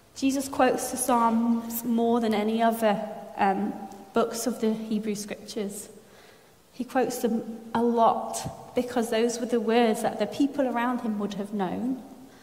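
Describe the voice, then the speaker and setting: Against noticeable background noise and audible room echo, a woman talks fairly slowly in a fairly high pitch with monotone, flat intonation. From France. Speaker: preacher. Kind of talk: sermon.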